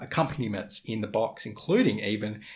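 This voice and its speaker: A man speaks in an Australian accent. His voice is somewhat breathy. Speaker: photography lens reviewer. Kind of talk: casual talk to camera.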